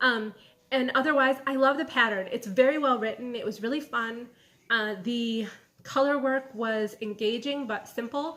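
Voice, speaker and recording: A high-pitched woman with a slight Michigan accent, bright and sharp in tone, with fairly even intonation. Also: moderate pace. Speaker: knitting podcaster and yarn dyer. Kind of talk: casual video podcast. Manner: relaxed, casual with fillers.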